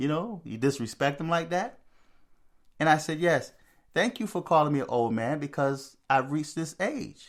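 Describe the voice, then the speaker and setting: A man with an unremarkable speaking voice and fairly high pitch talks at a moderate pace, with ordinary pitch variation. The recording is very clean, with a silent background. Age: 60s. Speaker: spirituality video host. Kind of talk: monologue commentary. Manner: repetitive, conversational.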